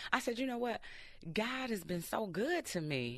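Over a quiet background, a woman of medium pitch speaks with vocal fry and very wide pitch swings. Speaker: radio host guest. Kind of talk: casual interview. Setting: studio.

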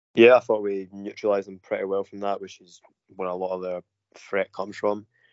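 With a Glasgow accent, a man of fairly low pitch speaks at a fairly quick pace. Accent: Scottish (Glasgow). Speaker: football fan panellist. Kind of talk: casual chat.

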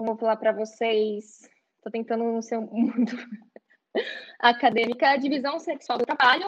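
Pausing long and often, a woman talks at a moderate pace in a fairly high voice with ordinary pitch variation. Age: 20s. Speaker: university student. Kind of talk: online panel discussion.

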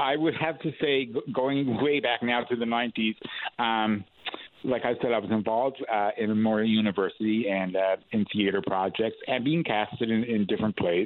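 Speaking in a Newfoundland accent, a man talks at a moderate pace and medium pitch with ordinary pitch variation and very even loudness. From St. John's, Newfoundland (East End). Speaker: actor and playwright, theatre artistic director. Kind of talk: radio interview. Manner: hesitant, many fillers and repeats.

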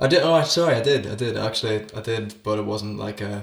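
In a Northern Irish accent, a man speaks somewhat breathily at a fairly low pitch. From Northern Ireland. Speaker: actor and musician. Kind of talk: casual chat.

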